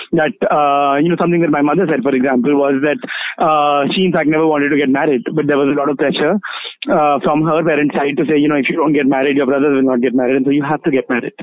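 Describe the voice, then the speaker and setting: Amid noticeable background noise, a man talks very fast at a fairly high pitch, with fairly even intonation and very even loudness. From India, Delhi. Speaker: queer feminist activist. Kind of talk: interview. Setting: phone call.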